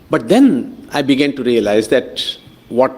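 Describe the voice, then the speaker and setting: The pitch swings very widely in a Kannada accent. Noticeable background noise sits underneath. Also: man. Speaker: professor. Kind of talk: lecture. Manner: hesitant, many fillers.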